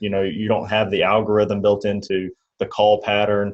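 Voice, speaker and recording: A fairly low-pitched man with a Mississippi accent. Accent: Mississippi drawl. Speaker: insurance agent trainer, channel host. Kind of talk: casual interview chat.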